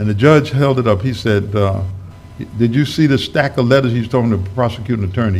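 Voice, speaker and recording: A man with an American accent talks in a fairly low voice. Room echo is audible. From New York. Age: 70s. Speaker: minister. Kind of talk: sermon. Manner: conversational storytelling.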